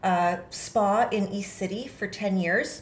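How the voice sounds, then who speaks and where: In a Canadian accent, a woman at medium pitch speaks with fairly even intonation in an ordinary speaking voice. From Ontario, Canada (Kingston). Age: 40s. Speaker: municipal election candidate. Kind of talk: interview.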